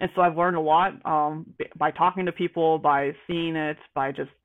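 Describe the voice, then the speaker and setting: A woman with an American accent talks in a normal speaking voice at a fairly low pitch. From US South, Georgia. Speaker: operations research analyst. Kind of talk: interview.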